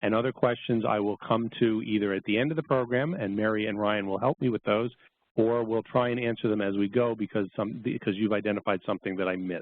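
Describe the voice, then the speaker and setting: This man speaks very fast with a New York accent. His pitch is fairly low and his intonation fairly even. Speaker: copyright lawyer presenter. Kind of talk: webinar lecture. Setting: online webinar.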